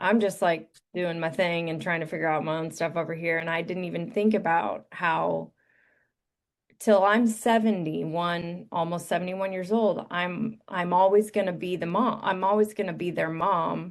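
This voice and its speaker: A woman with a normal speaking voice talks at a moderate pace and a fairly low pitch. Her intonation is fairly even, and the background is quiet. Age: 40s. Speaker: parent. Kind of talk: casual chat.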